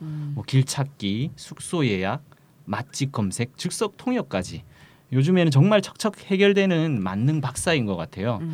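A man speaks fairly slowly at a fairly high pitch. His tone is animated, with very wide pitch swings. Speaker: podcast host. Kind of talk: casual chat. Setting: studio. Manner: animated, joking.

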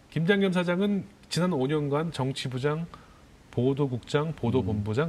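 Somewhat breathy and fairly high in pitch, a man's voice moves at a moderate pace. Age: 50s. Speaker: journalist. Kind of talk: interview.

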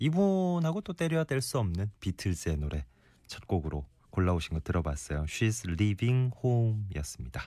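A man's voice with a dark, mellow tone. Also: very clean recording, silent background. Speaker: radio host. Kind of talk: casual chat. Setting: studio.

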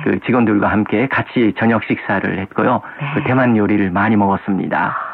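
A man's normal speaking voice at a fairly low pitch and moderate pace. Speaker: radio host. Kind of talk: casual chat.

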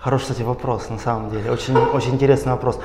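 A man talks in a space with audible room echo and noticeable background noise. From Russia. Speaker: doctoral student. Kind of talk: interview. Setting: studio.

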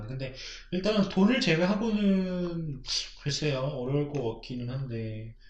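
Somewhat breathy, a man talks with fairly high pitch and lively intonation. Audible room echo is heard. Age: 20s. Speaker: podcast co-host. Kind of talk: casual chat.

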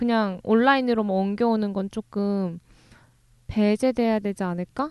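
A woman's ordinary speaking voice, fairly high in pitch, at a moderate pace, with a dry, close sound, no echo and a quiet background. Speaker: book-loving co-host. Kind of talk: casual chat.

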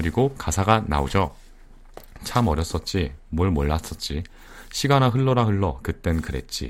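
Very deep, low pitch from a man, with very wide pitch swings at a moderate pace. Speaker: online radio host. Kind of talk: casual live broadcast chat. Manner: laughing often.

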